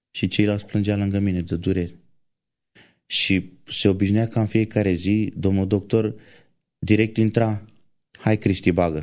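In a very clean recording with a silent background, a man speaks at a fairly slow pace. His intonation is monotone and flat, with long, frequent pauses. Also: fairly low pitch for a man. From rural Romania. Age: 20s. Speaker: truck driver and church violinist. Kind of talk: testimony.

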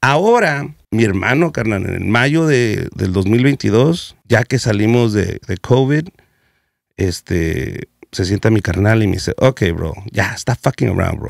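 Against a quiet background, a man talks fairly slowly with lively intonation in a dry sound with no echo. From US West Coast (South Central Los Angeles); Los Angeles. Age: 40s. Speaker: comedian; comedian guest. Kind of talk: casual chat. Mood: joking, candid, slangy. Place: studio. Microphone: studio mic.

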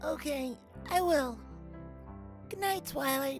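Clear music in the background beneath a put-on character voice. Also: fairly slow pace. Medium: dub. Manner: emotional, hesitant.

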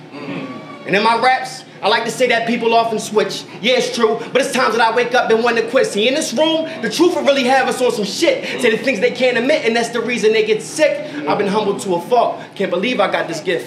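Over noticeable background noise, a man talks at an extremely high pitch with ordinary pitch variation, keeping a fairly quick pace with hardly any pauses. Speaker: poet. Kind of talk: spoken word performance. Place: shop.

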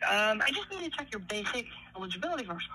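Quick-paced speech from a woman comes with a bright, sharp tone.

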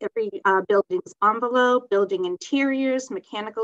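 Moderate pace over a quiet background. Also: woman. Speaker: presenter. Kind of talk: presentation reading. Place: office. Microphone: webcam.

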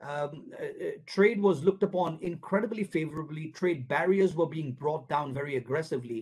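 A man's fairly high, slightly mellow voice with a slightly husky edge, fairly quick pace and ordinary pitch variation.

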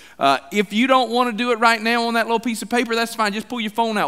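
A man speaks in a raised, projected voice. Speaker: senior pastor. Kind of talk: sermon announcements. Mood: light, joking. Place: church.

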